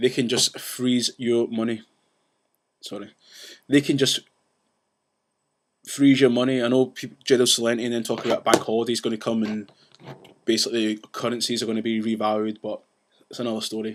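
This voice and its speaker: Speaking at a medium pitch, a man goes at a fairly quick pace yet leaves long, frequent pauses. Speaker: vlogger ranting about banks. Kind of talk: casual vlog rant. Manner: fast; animated.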